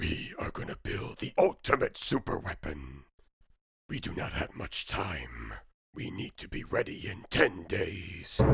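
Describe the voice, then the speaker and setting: In a cartoonish character voice, a man sounds raspy and very deep and low, with big swings in loudness. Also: fairly slow pace. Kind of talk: cartoon villain. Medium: fan dub. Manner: menacing, commanding.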